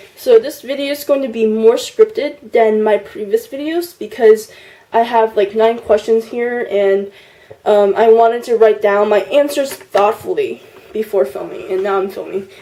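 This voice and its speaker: A woman talks with ordinary pitch variation while noticeable noise sits in the background. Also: fairly high pitch for a woman, moderate pace. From US, immigrated from China at six. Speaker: YouTuber. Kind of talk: partly scripted vlog answering tag questions. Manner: casual with frequent fillers (um, like).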